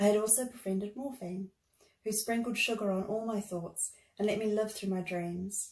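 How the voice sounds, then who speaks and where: A woman speaks in a New Zealand accent at a moderate pace. Her voice is somewhat breathy, with fairly even intonation. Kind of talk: reading own memoir.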